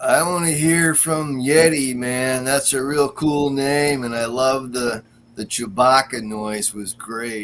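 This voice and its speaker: A man's put-on character voice, drawling at a fairly slow pace and a medium pitch. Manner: slow, mellow, drawling.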